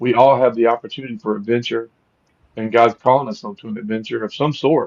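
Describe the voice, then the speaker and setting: The man's pace is fairly quick. He speaks with a medium pitch. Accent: Southern US. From US South, Louisiana. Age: 50s. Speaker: podcast host. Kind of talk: interview conversation.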